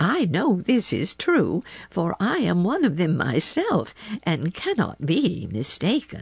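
Using a put-on character voice, a woman speaks at a fairly slow pace with a medium pitch and a calm, gentle tone. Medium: read story. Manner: calm, gentle, grandmotherly.

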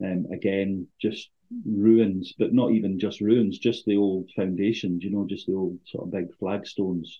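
With a northern Scottish accent, a man speaks at a fairly slow pace and fairly low pitch in a monotone, flat intonation. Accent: northern Scottish (Caithness). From Scotland, Thurso (far north Highlands). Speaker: distillery representative. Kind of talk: casual interview.

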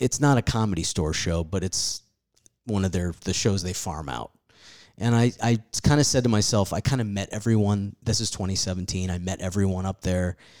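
A man with a fairly low pitch speaks at a moderate pace, using ordinary pitch variation. It is an unremarkable speaking voice. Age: 40s. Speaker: stand-up comedian. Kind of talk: casual chat.

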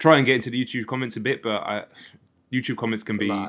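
A man with a southern English accent and ordinary pitch variation. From south coast of England. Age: 40s. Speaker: music YouTuber and reviewer. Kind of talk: casual interview chat.

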